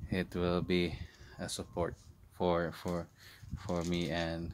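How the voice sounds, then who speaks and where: A man's very deep, low voice. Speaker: clergy vlogger. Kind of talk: casual vlog chat. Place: street. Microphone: phone near.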